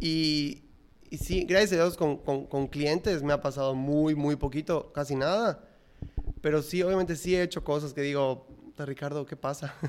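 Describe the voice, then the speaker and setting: A man speaks in a plain, everyday voice at a fairly high pitch. His pace is moderate and his intonation fairly even. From Yucatán, Mexico (Mérida). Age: 20s. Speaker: ice cream entrepreneur. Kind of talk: casual interview.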